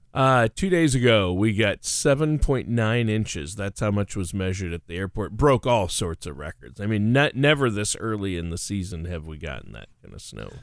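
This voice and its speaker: Over a silent background in a very clean recording, a man with an unremarkable speaking voice and a fairly low pitch talks at a moderate pace with hardly any pauses, lively intonation and big swings in loudness. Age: 50s. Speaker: radio co-host. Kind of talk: casual chat.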